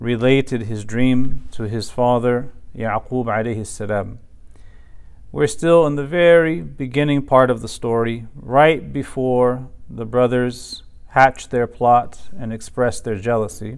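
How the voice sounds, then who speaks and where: In a quiet background, a man talks fairly slowly with ordinary pitch variation. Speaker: religious teacher. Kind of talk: lecture. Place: office. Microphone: lapel.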